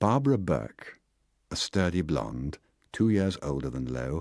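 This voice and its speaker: Over a silent background in a very clean recording, a man with a very deep, low pitch and vocal fry speaks in a dramatic tone with very wide pitch swings. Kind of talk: audiobook reading. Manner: measured, expressive narration with wry, dramatic delivery; formal literary diction, steady pace.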